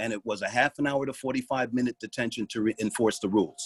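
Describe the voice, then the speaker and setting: Recorded dry and close with no echo, a man speaks at a medium pitch with ordinary pitch variation. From New York City, South Bronx. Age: 60s. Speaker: retired police officer and parent. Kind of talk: public comment at a meeting.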